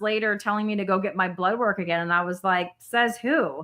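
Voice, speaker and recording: The delivery is very fast, with a bright, sharp tone. Pitch variation is ordinary, and the recording is very clean with a silent background. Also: woman. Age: 40s. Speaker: podcast host. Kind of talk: interview on a live stream.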